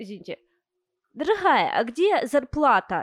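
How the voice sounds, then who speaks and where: A woman's voice shows very wide pitch swings in a dry, close sound with no echo. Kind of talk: casual banter.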